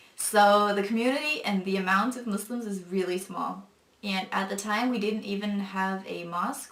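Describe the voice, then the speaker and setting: A woman talks at a moderate pace and medium pitch. Noticeable background noise and audible room echo surround her voice. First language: non-English mother tongue. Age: 20s. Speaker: convert sharing faith story. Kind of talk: testimony. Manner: hesitant with many fillers.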